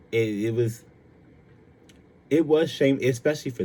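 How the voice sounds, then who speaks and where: The man's tone is dark and mellow. There is a somewhat breathy quality to his speech. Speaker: podcast host. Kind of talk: casual monologue. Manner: halting, many fillers.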